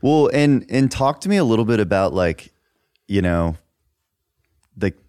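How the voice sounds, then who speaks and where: With a Texan accent, this dark, mellow voice moves at a moderate pace through very wide pitch swings and long, frequent pauses, in a very clean recording with a silent background and a dry, close sound with no echo. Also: man. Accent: Texan American. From Dallas, Texas. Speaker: podcast host and musician. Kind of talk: casual chat.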